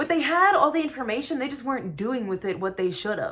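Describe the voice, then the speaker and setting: Over noticeable background noise, a woman speaks at a very fast pace with an animated tone. Her pitch swings very widely. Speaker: tarot card reader. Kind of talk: tarot reading monologue.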